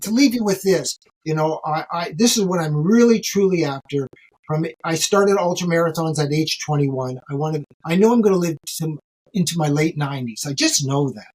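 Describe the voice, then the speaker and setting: At a fairly quick pace, a man with a Canadian accent uses an ordinary speaking voice, his pitch fairly high with ordinary pitch variation. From Canada, Ontario. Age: 60s. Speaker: ultramarathon runner. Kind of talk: podcast interview.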